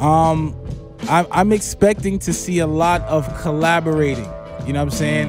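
A man's voice, dry and echo-free, with clear music playing behind it. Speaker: podcast co-host. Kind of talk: casual podcast discussion. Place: studio. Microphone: studio mic.

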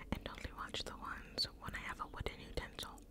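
A woman's whisper at a moderate pace. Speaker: ASMR creator. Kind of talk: ASMR mukbang eating video, casual talk to camera. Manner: whispered, soft-spoken. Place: home room. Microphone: studio mic.

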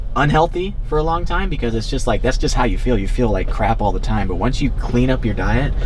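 Over noticeable background noise, a man talks at a fairly quick pace with hardly any pauses and very even loudness. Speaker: fitness vlogger. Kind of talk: casual vlog chat. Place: car.

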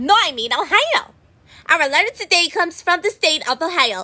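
An extremely high-pitched cartoonish character voice at a moderate pace. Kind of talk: children's cartoon comedy. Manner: goofy, cheerful, oblivious.

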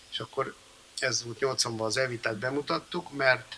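Light background noise sits behind a man speaking at a fairly slow pace. His intonation is fairly even. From Hungary. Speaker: composer and band founder; interviewee. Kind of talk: interview before audience. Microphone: studio mic.

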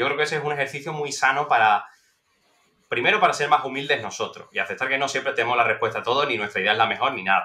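Speech runs at a very fast pace with ordinary pitch variation. The background is quiet. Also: man. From Spain. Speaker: political scientist; podcast guest. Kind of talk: interview. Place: home room. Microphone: headset.

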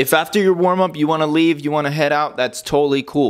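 A man talks against a quiet background. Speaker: fitness trainer. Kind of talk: casual vlog tutorial. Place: kitchen. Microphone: lapel.

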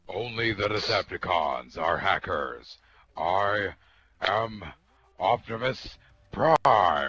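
A man speaks in a raspy, put-on character voice with a fairly low pitch. His pace is very slow, broken by long, frequent pauses. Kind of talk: in-game voice chat role play. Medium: role play. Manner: slow, solemn, commanding.

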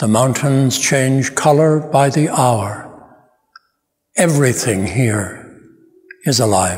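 A man talks at a very slow pace with ordinary pitch variation. His loudness stays very even against a quiet background. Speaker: narrator. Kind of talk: reflective narration. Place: church.

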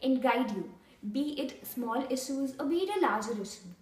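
In an Indian accent, a woman talks at a high pitch and moderate pace with lively intonation and audible room echo. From India, New Delhi. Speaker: intern. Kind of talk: testimony. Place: office. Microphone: camera far.

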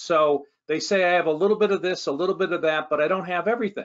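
A high-pitched male voice at a fairly quick pace, with ordinary pitch variation over a quiet background. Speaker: guest. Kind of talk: interview answer. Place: office. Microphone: video call.

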